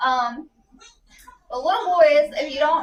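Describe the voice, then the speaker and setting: Her pitch shows ordinary variation. The speaker is a woman. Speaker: parent product reviewer. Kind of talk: casual product review. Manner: soft-spoken.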